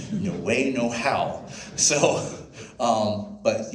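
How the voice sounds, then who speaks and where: Audible room echo and noticeable background noise surround a man as he talks. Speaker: sailing charter business owner. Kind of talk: club presentation with Q&A. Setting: club member meeting. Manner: fast.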